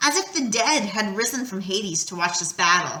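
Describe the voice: Intonation rises and falls in a lively way. The delivery is plain reading aloud.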